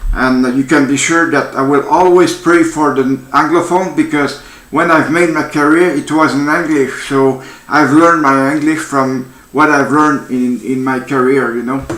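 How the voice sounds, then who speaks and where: In a Quebec accent, a man with a fairly high pitch speaks at a moderate pace with fairly even intonation amid audible room echo. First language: French. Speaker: veteran vlogger. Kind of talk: vlog rant. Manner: halting.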